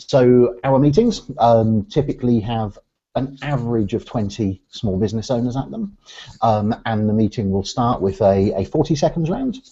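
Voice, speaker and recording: A man with an Oxfordshire accent speaks at a medium pitch. His pitch varies in an ordinary way, and his pace is moderate. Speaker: business networking organisation director. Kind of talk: interview conversation. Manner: hesitant, many fillers.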